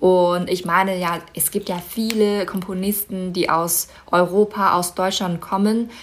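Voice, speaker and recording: With a Mandarin Chinese accent, a woman speaks at a medium pitch and a fairly slow pace in a monotone, flat intonation. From China, Inner Mongolia (Baotou). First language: Mandarin Chinese (speaking German). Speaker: model and concert pianist. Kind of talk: interview.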